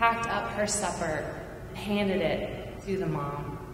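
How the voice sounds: A medium-pitched woman's voice with audible room echo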